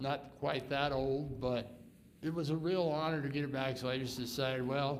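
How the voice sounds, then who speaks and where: With audible room echo, a man speaks in a flat monotone at a very even loudness. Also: fairly high pitch for a man, moderate pace. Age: 80s+. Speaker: retired volunteer firefighter donating a fire engine. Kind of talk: public remarks at council meeting.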